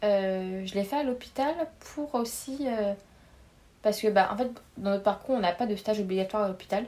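A woman speaks with a dark, mellow tone at a medium pitch and moderate pace. She leaves long, frequent pauses, and her pitch varies in an ordinary way. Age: 20s. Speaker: pharmacy student. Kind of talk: casual interview.

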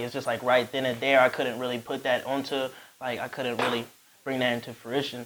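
A man talks in a monotone, flat intonation. Noticeable background noise runs behind him. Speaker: rapper and recording artist. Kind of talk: casual podcast interview. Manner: laid-back, slangy.

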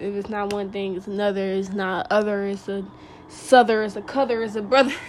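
The speech moves at a fairly quick pace with fairly even intonation but big swings in loudness. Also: woman, medium pitch for a woman. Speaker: podcast host. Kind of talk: casual monologue. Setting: at home by open window.

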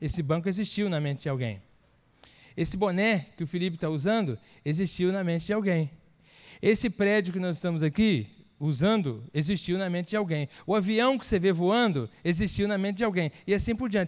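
A man's high-pitched voice with lively intonation at a fairly quick pace, on a very clean recording with a silent background. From Espírito Santo, Brazil. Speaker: pastor. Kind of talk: sermon. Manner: conversational, engaging audience.

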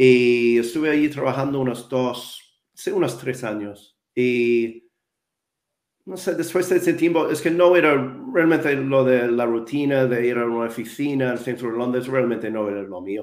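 A man's medium-pitched voice in a non-native accent, with ordinary pitch variation. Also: moderate pace. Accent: foreign accent in Spanish. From New Zealand, Wellington. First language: English (speaking Spanish). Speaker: English communication coach. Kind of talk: interview. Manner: halting.

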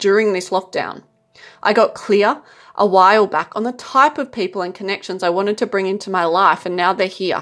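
A woman with an unremarkable speaking voice talks at a fairly quick pace and ordinary pitch variation on a very clean recording with a silent background. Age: 30s. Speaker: spiritual self-help podcaster. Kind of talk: monologue advice talk.

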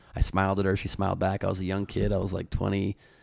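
At a fairly quick pace, a man talks with vocal fry and a fairly low pitch. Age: 40s. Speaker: comedian. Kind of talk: casual chat.

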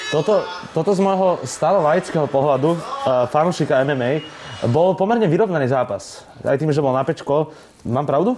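Noticeable background noise sits behind a man with a fairly high pitch. His loudness stays very even, and his pitch varies in an ordinary way. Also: moderate pace. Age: 20s. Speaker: podcast interviewer. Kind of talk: interview.

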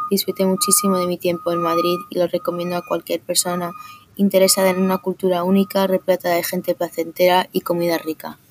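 A woman speaks fairly quickly at a fairly low pitch. The sound is dry and close with no echo, with music in the background. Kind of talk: scripted tour-guide narration, upbeat travel-itinerary style. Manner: enthusiastic, polished, steady pace, promotional tone.

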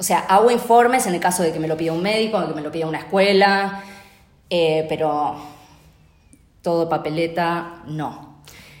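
The speech moves at a moderate pace. Room echo is audible, and background noise is noticeable. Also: woman. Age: 40s. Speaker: occupational therapist. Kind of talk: interview.

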